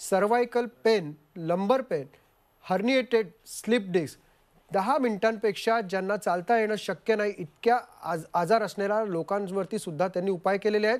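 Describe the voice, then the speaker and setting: A man's high pitch with ordinary pitch variation over a quiet background. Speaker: TV news anchor. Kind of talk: broadcast program introduction. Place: studio. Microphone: lapel.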